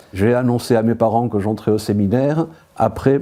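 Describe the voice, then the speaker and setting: This man's voice has a dark, mellow tone and sits fairly low in pitch. He speaks at a moderate pace with fairly even intonation. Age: 60s. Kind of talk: interview testimony. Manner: hesitant, with frequent filler sounds.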